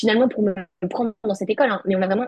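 Dry and close with no echo, a woman talks at a very fast pace. Her voice is medium in pitch and somewhat breathy. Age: 20s. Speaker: law student. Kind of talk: testimony.

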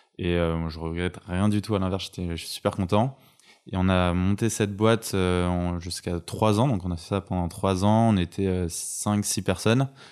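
Very deep, low male voice at a fairly slow pace with fairly even intonation, in a very clean recording with a silent background. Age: 20s. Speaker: recruitment entrepreneur. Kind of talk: interview conversation. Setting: home.

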